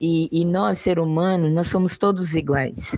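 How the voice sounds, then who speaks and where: A woman speaks at a fairly slow pace and fairly low pitch in a dark, mellow tone, with a dry, close sound and no echo. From Brazil, São Paulo coast (Mongaguá). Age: 50s. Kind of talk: interview. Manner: halting, with frequent repetitions.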